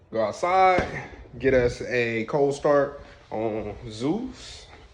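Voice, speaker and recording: Speaking at a very slow pace, a man with a fairly high pitch uses lively intonation. Noticeable background noise and audible room echo fill the recording. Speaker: vlogger and engineer. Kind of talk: casual vlog. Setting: gym.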